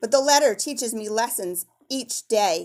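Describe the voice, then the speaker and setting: On a very clean recording with a silent background, a woman does a put-on character voice at a fairly high pitch with ordinary pitch variation. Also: moderate pace. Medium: read story.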